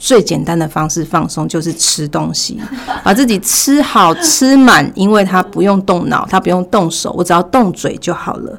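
Over noticeable background noise, a woman speaks at a moderate pace in a medium pitch with lively intonation. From Taiwan, Taichung. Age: 40s. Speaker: former retail manager. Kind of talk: personal testimony in interview.

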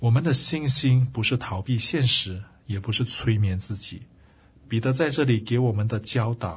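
Over a quiet background, a man talks at a moderate pace in a medium pitch. His voice is somewhat breathy, with ordinary pitch variation. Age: 40s. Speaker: Bible teacher and podcast host. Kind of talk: devotional Bible teaching. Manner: many filler sounds, hesitant.

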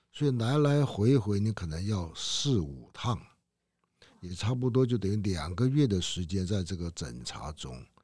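A man's fairly low, dark, mellow voice at a fairly slow pace, with very wide pitch swings. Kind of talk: interview.

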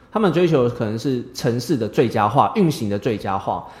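The voice is somewhat breathy, in a Taiwanese accent. It moves at a fairly quick pace with very wide pitch swings. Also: man. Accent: Taiwanese Mandarin. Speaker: engineer and teacher. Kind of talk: interview.

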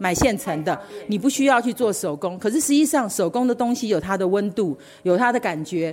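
A woman speaks at a fairly quick pace and medium pitch. She has an unremarkable speaking voice. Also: lively intonation. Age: 60s. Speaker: knitting hobbyist at a craft camp. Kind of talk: personal sharing.

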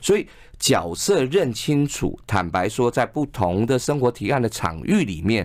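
At a fairly slow pace, the voice moves through very wide pitch swings on a very clean recording with a silent background. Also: man. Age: 50s. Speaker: advertising executive and author. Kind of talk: radio interview. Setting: radio studio.

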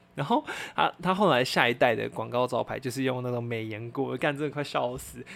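A man's unremarkable speaking voice at medium pitch, fairly quick in pace, with ordinary pitch variation. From Taiwan. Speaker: podcast host. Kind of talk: casual solo chat.

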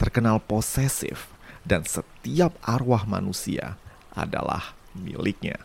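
A man speaks at a very slow pace. His fairly low voice moves with lively intonation. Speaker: podcast storyteller. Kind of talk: scripted narration.

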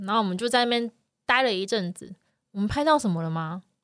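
A woman speaks in a fairly high pitch with lively intonation on a very clean recording with a silent background. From Taiwan. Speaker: wildlife photography podcast host. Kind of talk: casual chat.

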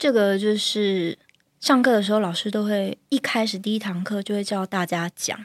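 A woman speaks in a normal speaking voice. The sound is dry and close, with no echo. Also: medium pitch for a woman, fairly even intonation, moderate pace. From Taiwan, Kaohsiung. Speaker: corporate lawyer and yoga teacher. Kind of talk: guided yoga closing; casual interview chat.

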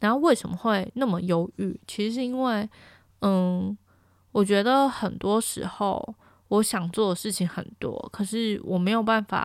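On a very clean recording with a silent background, a woman of medium pitch speaks at a fairly slow pace with ordinary pitch variation. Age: 20s. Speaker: podcast host. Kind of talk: casual solo monologue.

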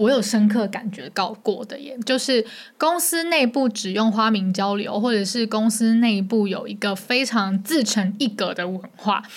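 A woman's fairly high voice with ordinary pitch variation and hardly any pauses. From Taiwan. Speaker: podcast co-host. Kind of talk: casual chat.

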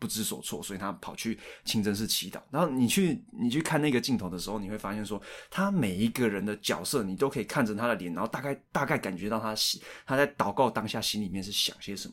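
A man with a Taiwanese accent speaks at a very fast pace. His pitch is medium and his intonation lively. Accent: Taiwanese Mandarin. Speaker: podcast co-host discussing films. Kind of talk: casual chat.

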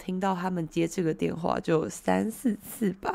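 This woman speaks at a very slow pace in a dark, mellow tone. Her pitch swings very widely. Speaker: Korean language teacher. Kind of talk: live-stream language lesson. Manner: hesitant with many fillers.

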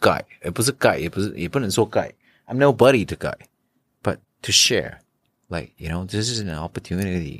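In a very clean recording with a silent background and a dry, close sound with no echo, a man speaks at a fairly low pitch and a fairly quick pace with lively intonation and long, frequent pauses. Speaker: NFT collector and community founder. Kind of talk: interview. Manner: code-switching Mandarin and English; halting, repeated words.

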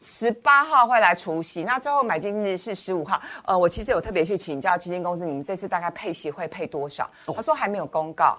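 A woman at medium pitch with a bright, sharp tone, lively intonation, a fairly quick pace and hardly any pauses. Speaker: financial commentator. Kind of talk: finance talk show discussion.

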